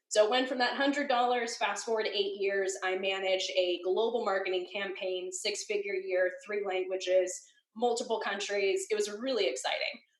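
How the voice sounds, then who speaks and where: An animated tone with hardly any pauses. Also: woman, medium pitch for a woman. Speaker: web design educator. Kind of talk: interview. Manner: fast.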